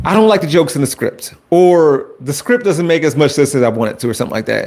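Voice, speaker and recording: A man talks loudly at a fairly quick pace with an American accent. His pitch swings very widely. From Chicago. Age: 40s. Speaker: YouTuber and high school teacher. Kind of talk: live stream chat. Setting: home basement live stream. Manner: loud, projecting. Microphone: Wi-Fi cutting out.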